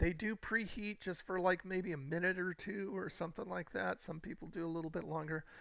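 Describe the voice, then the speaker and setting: Bright and sharp in tone, a raised, projected voice carries at a moderate pace with ordinary pitch variation on a very clean recording with a silent background. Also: man. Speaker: gaming live streamer. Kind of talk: casual chat. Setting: live stream on camera. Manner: energetic when on camera.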